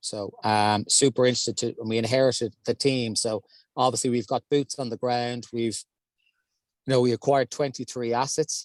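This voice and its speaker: A man with an Irish accent at a moderate pace, monotone and flat, in a dry, close recording with no echo. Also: medium pitch for a man. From Ireland. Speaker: real estate investment executive. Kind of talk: panel discussion. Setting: in a car.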